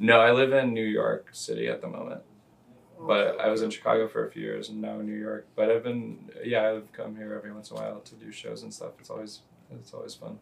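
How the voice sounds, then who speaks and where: Amid noticeable background noise, a man with an American accent talks at a very fast pace, with big swings in loudness. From US South, Louisville, Kentucky. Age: 30s. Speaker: comedian. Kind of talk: casual chat. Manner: halting, many fillers.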